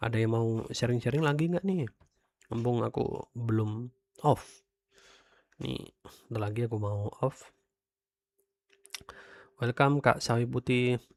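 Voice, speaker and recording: A man speaks at a fairly slow pace with long, frequent pauses and ordinary pitch variation, in a dry, close sound with no echo. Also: medium pitch for a man. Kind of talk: casual, chatty livestream. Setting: livestream.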